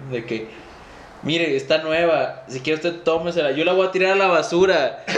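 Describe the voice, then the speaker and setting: A man at a moderate pace, his pitch fairly high, is heard through noticeable background noise. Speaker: podcast host. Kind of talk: casual chat.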